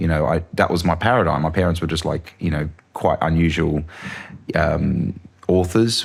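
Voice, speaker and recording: Noticeable background noise accompanies a fairly quick speaker with an Australian accent. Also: man. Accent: Australian, moderate. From Australia, Sydney. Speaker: filmmaker. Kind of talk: interview. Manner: animated.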